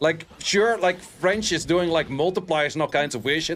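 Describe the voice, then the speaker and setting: With music in the background, a man with a Dutch accent talks at a moderate pace and ordinary pitch variation. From Netherlands. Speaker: game streamer. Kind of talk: casual livestream chat. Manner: animated.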